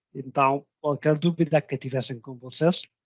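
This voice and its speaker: A man with a non-native accent and fairly even intonation. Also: dry, close sound with no echo. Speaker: software vendor representative. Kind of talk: webinar closing remarks. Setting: online webinar. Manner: halting, repeats words.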